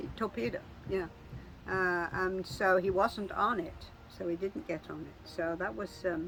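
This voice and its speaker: A woman's medium-pitched voice with vocal fry at a fairly slow pace. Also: ordinary pitch variation, big swings in loudness. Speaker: family elder sharing memories. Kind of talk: family oral history interview. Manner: halting.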